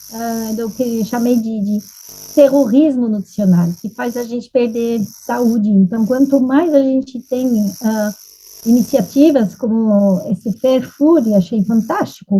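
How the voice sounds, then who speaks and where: Against noticeable background noise, a woman with a fairly high voice speaks very slowly, with ordinary pitch variation. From France. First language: French (speaking Portuguese). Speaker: nutrition expert. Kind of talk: panel discussion.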